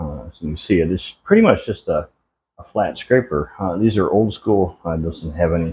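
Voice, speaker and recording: A man's very deep, low, somewhat breathy voice at a moderate pace against a quiet background. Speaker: homestead content creator. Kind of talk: behind-the-scenes tutorial vlog. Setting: workshop with lavalier mic, camera at distance. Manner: casual, hesitant with fillers.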